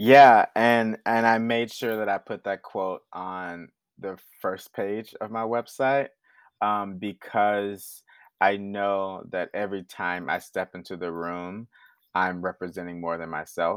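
A man speaks at a fairly slow pace with an American accent, in a normal speaking voice. His pitch is fairly low and his intonation fairly even. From Houston, Texas. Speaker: stage manager and theater producer. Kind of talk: interview conversation.

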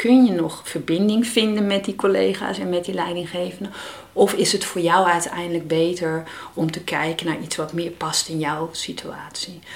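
Noticeable background noise sits behind a woman speaking at a fairly slow pace. Her pitch is medium, with ordinary variation. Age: 50s. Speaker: parent coach, mother of child with Down syndrome. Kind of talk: interview conversation.

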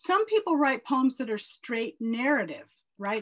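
This woman's intonation is lively. There's some breathiness in her voice. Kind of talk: poet reading aloud.

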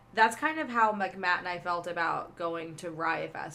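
A woman with a fairly low voice and ordinary pitch variation talks over noticeable background noise. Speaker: podcast co-host. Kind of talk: casual chat.

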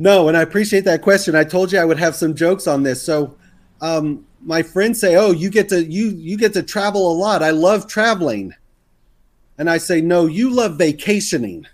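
On a very clean recording with a silent background, a man with a high voice and an American accent speaks at a moderate pace with ordinary pitch variation. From US South, Texas. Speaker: serial entrepreneur and podcaster. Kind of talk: casual interview conversation.

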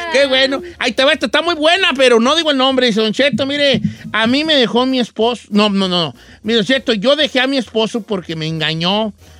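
Raised and projected, a man's voice hits an extremely high pitch, moving at a fairly quick pace with a bright, sharp tone and lively intonation. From Mexico, Guadalajara. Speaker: radio host. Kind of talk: casual chat.

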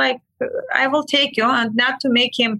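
With an Armenian accent, a woman speaks at a moderate pace and high pitch. The sound is dry and close, with no echo. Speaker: medical aesthetics practitioner. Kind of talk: storytelling in casual chat. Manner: animated.

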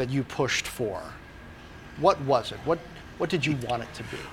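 This is an unremarkable speaking voice. Its intonation stays fairly even. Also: man. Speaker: TV business show host. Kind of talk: interview show hosting.

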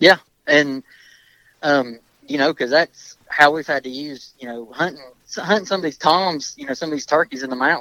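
The sound is dry and close, with no echo. A man speaks fairly high in pitch with a bright, sharp tone. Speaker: hunter. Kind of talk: casual chat. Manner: hesitant, filler-heavy.

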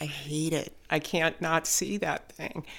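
A woman with an American accent and vocal fry. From Chicago area. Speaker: podcast producer. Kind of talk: interview conversation.

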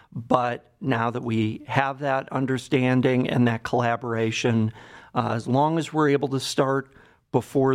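A man with an American accent speaks at a fairly slow pace in a medium pitch, his intonation fairly even against a quiet background. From Cleveland, Ohio, US Midwest. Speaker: psychiatrist, addiction medicine director. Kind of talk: interview.

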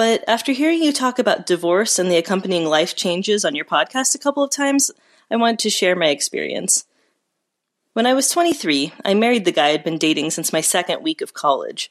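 Her pitch fairly high and swinging very widely, a woman talks at a fairly quick pace in a dry, close recording with no echo. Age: 30s. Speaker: caller. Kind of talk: personal testimony.

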